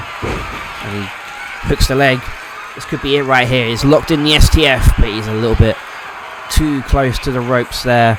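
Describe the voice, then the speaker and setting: Over noticeable background noise, a man talks at a fairly quick pace and medium pitch. His intonation stays fairly even while his loudness swings widely. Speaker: wrestling commentator. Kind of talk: play-by-play sports commentary.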